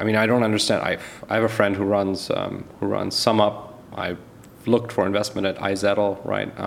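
A man's fairly low, monotone voice with flat intonation at a moderate pace, over noticeable background noise. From Germany and Canada. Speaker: venture capitalist. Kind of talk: interview.

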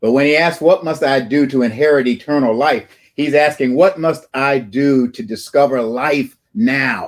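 In an ordinary speaking voice, a man keeps to a moderate pace. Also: fairly high pitch for a man, ordinary pitch variation. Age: 60s. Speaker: preacher. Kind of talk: sermon. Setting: church.

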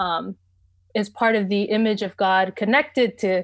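The speaker is a woman with a medium pitch. She talks at a fairly slow pace. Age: 20s. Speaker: seminary graduate in theology. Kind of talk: casual discussion. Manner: hesitant with frequent fillers.

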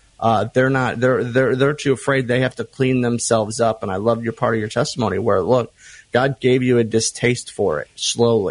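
A man talks at medium pitch in a plain, everyday voice. His pace is moderate and his intonation fairly even. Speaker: ministry friend, co-host guest. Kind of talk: casual conversation.

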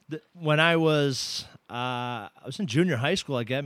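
A man with an American accent and an ordinary speaking voice, fairly high-pitched, with ordinary pitch variation. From Massachusetts, US. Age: 30s. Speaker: jiu-jitsu competitor. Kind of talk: casual chat. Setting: studio.

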